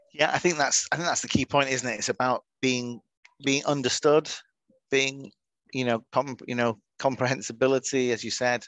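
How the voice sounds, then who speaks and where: The man's fairly even intonation moves at a moderate pace, and the sound is dry and close with no echo. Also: medium pitch for a man. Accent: Manchester. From northern England, Manchester. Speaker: webinar moderator. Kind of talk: webinar panel discussion.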